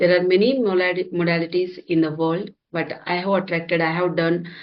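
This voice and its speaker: Speaking at a moderate pace, a woman with an Indian accent uses a fairly low pitch. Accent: Indian English (Telugu). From India, Hyderabad. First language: Telugu. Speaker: software engineer and healer. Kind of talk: interview. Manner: halting, many fillers.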